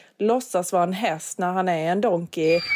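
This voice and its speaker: On a very clean recording with a silent background, a woman speaks at medium pitch in a dark, mellow tone. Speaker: podcast co-host. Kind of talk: casual chat.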